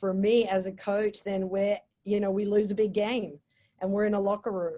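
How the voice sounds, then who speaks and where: With an Australian accent, a woman speaks at a medium pitch in a dark, mellow tone. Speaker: college sports coach. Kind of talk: motivational talk.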